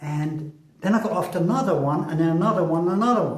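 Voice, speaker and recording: There is audible room echo as a man with a high pitch talks at a fairly quick pace. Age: 60s. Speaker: vlogger. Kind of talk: casual monologue. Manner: halting.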